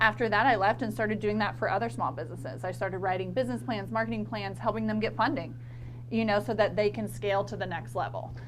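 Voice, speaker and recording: Over music in the background, a woman with an American accent talks at a very fast pace, with audible room echo. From northern Florida, Lafayette County. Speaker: marketing consultant. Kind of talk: casual interview chat.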